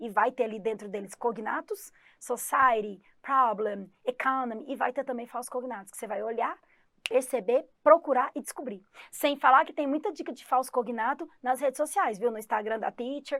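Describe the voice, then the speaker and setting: A woman's high-pitched, animated voice with a Goiás accent, moderate pace and big swings in loudness. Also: ordinary pitch variation. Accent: Goiás accent, somewhat strong, rolled R. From Goiás, Brazil. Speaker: English teacher. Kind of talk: online exam-prep lesson.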